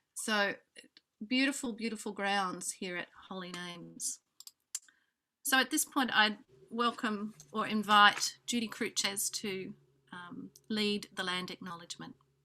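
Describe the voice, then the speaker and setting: In an Australian accent, a woman speaks fairly slowly at a fairly high pitch in a bright, sharp tone, with ordinary pitch variation. Her loudness swings widely, and she takes long, frequent pauses. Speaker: music program director, event organizer. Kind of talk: conference welcome address. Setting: video call. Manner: hesitant, many fillers.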